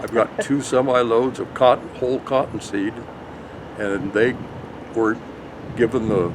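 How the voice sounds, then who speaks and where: Over noticeable background noise, a man talks at a moderate pace. He has an American accent. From Colorado, US. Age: 70s. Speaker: dairy farmer. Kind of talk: interview. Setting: on location at a brewery.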